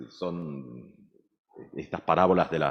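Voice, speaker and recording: A man talks at a very slow pace. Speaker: pastor. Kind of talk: sermon.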